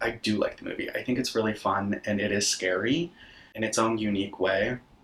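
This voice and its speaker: A man with a normal speaking voice talks at a moderate pace, his fairly low pitch held in fairly even intonation. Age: 20s. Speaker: horror content creator and podcaster. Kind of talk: casual talk to camera, film recap.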